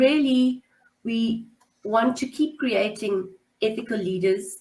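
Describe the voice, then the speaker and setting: A woman's voice sits at a fairly high pitch and sounds somewhat breathy. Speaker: webinar host for a business school. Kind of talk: webinar presentation. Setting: online webinar.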